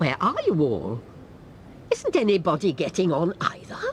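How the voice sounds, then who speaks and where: A cartoonish character voice speaks at a moderate pace. Clear background noise runs underneath. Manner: brisk, authoritative.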